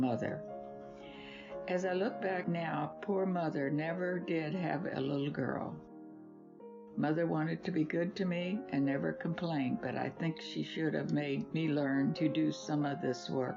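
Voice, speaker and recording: Music plays behind a woman whose very deep, low voice carries lively intonation at a moderate pace and very even loudness. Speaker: grandmother. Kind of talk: reading aloud her own life essay.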